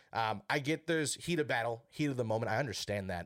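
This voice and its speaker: Speaking at a fairly quick pace with lively intonation and an American accent, this is an ordinary speaking voice on a very clean recording with a silent background. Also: man. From Wisconsin. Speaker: casual sports podcast guest. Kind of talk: casual chat.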